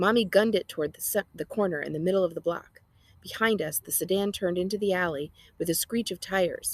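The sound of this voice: The speaker has an unforced reading voice. Pitch variation is ordinary.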